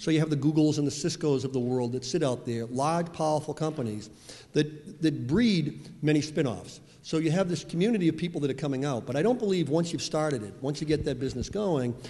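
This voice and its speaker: A man with a Boston accent talks at a very fast pace, his fairly high pitch set in a dark, mellow tone that is somewhat breathy, with lively intonation. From Boston (Dorchester). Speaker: venture capitalist. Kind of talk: panel discussion. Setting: stage with audience. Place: hall. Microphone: handheld.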